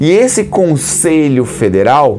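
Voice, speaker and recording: A man speaks against noticeable background noise. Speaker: hypnotherapist and instructor. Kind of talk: explainer talk to camera. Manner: animated, rhetorical questions.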